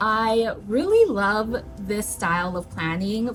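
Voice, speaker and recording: A woman talks in an animated tone as noticeable noise sounds behind her. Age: 30s. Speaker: lifestyle vlogger. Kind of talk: casual vlog talk to camera.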